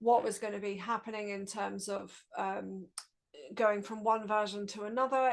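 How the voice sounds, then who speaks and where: Speaking with a British accent, a woman uses a fairly high pitch and monotone, flat intonation at a fairly slow pace. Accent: English (UK). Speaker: open-source project lead. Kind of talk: presentation on a video call. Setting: video call, streamed.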